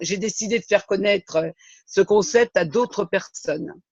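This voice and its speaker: The sound is dry and close, with no echo. Speech comes at a moderate pace with ordinary pitch variation. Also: man. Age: 70s. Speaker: retired civil servant, network marketing distributor. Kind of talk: testimony.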